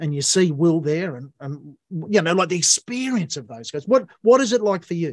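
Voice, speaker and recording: A man's high-pitched voice with an Australian accent, very wide pitch swings, big jumps in loudness and a moderate pace. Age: 60s. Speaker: podcast host, musician. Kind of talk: interview conversation.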